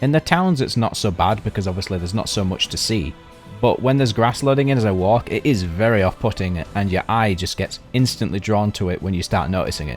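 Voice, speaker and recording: A man with a British accent speaks very fast, with a fairly low pitch and lively intonation. Music plays in the background. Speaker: video game reviewer. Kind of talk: game review narration. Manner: casual.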